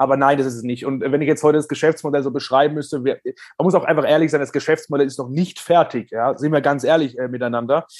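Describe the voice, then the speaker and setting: Against a quiet background, a man talks at a very fast pace with hardly any pauses, a fairly high pitch and fairly even intonation. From Germany. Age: 30s. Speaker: financial services entrepreneur. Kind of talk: interview. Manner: halting, many repetitions and fillers.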